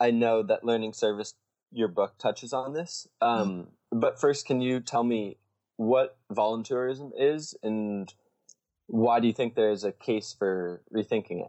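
Here is a man with an ordinary speaking voice, medium in pitch with ordinary pitch variation. He talks at a fairly slow pace. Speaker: podcast host. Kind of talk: scripted intro then interview.

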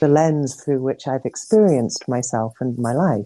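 A woman's dark, mellow voice, very deep and low, with ordinary pitch variation at a fairly slow pace, dry and close with no echo. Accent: English. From England. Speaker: interview guest, adoptee. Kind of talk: casual interview. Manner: calm, reflective.

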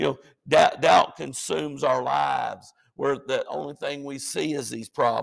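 A man speaking at a fairly slow pace with a Southern US accent. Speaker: pastor. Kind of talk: sermon. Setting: church. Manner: halting, repeats words.

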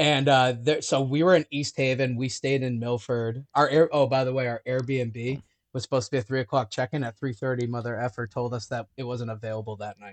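Using an American accent, a man at medium pitch talks at a fairly quick pace with hardly any pauses and big swings in loudness, the sound dry and close with no echo. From Syracuse area, upstate New York. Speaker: lead singer of a rock band. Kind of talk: casual chat. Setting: video call. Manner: animated.

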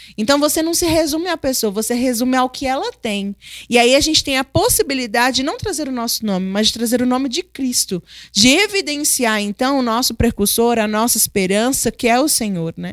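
With a dry, close sound and no echo, a woman talks at a fairly quick pace in a high pitch with lively intonation. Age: 30s. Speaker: host's wife, mother. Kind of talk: Bible study conversation.

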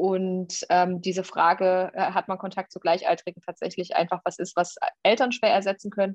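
With an ordinary speaking voice, a woman talks at a medium pitch and moderate pace with fairly even intonation. The sound is dry and close with no echo, over a quiet background. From Thuringia, Jena. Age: 30s. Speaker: state politician and podcast co-host. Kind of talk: casual political chat. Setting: remote recording.

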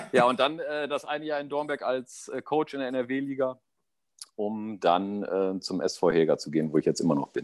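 With lively intonation, this man talks at a moderate pace. His is an unremarkable speaking voice, medium in pitch. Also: very clean recording, silent background. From East Westphalia, Germany. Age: 40s. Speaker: amateur football coach. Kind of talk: casual chat.

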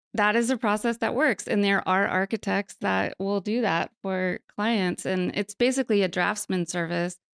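A woman's normal speaking voice with an American accent, medium pitch and ordinary pitch variation, at a moderate pace with hardly any pauses, very even loudness, and a dry, close sound with no echo in a very clean recording with a silent background. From mountains of western North Carolina. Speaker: architect. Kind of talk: interview.

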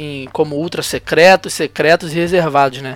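A man with a bright, sharp tone. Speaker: football podcast host. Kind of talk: casual chat.

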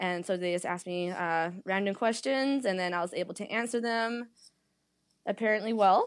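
A woman speaks in a normal speaking voice with a Canadian accent, at a fairly quick pace and fairly high pitch. The recording is very clean, with a silent background. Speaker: pageant winner and fitness instructor. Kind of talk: casual interview.

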